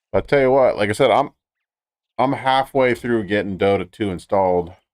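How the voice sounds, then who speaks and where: At a moderate pace and very even loudness, a man speaks at a medium pitch with ordinary pitch variation. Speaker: gaming streamer. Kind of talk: casual live-stream chat.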